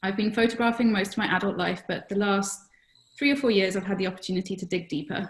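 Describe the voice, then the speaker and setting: A woman talks at a very fast pace in a British accent. Her medium-pitched voice is somewhat breathy. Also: ordinary pitch variation. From Britain. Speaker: photographer and former veterinarian. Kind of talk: webinar discussion. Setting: online webinar.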